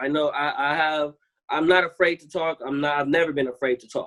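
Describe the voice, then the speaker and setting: A man speaks with an American accent. His pitch is fairly high and his intonation fairly even. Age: 20s. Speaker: university student. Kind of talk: panel discussion. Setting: video call. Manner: halting, many fillers.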